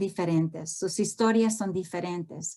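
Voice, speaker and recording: A woman's dark, mellow tone with ordinary pitch variation, in an American accent. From US, Houston, Texas (born in Honduras). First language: English-dominant (Spanish at home) (speaking Spanish). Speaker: professor, family therapist. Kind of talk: lecture. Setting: video call. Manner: halting, many fillers.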